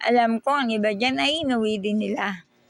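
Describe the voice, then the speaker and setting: Over noticeable background noise, a woman speaks at a moderate pace in a fairly high pitch. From Surigao del Sur, Philippines. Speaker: vlogger. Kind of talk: vlog voiceover narration. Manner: casual.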